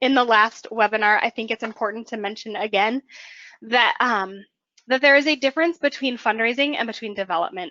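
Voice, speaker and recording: A woman's fairly high pitch with ordinary pitch variation, a normal speaking voice. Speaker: webinar presenter. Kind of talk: webinar presentation. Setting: online webinar, screen sharing.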